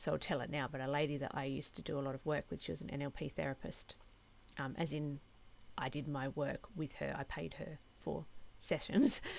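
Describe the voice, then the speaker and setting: A woman talks fairly quickly with a very deep, low pitch. Her voice carries vocal fry. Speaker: spiritual content creator. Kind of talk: casual talk to camera. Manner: hesitant, many fillers.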